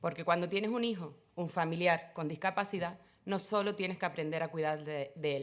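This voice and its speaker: A woman with a fairly low pitch talks fairly quickly, varying her pitch in an ordinary way. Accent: Canarian. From Canary Islands (Tenerife). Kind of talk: panel talk.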